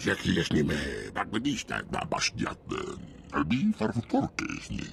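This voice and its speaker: A man performs a put-on character voice at a moderate pace. Clear background noise can be heard. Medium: video game. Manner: speaks an alien language.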